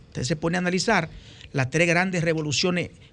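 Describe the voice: With a Dominican accent, a man speaks at a high pitch.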